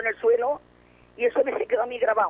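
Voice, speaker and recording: The pace is very fast. Noticeable background noise can be heard. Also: woman. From Barcelona, Spain. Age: 80s+. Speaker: war survivor. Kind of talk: testimony.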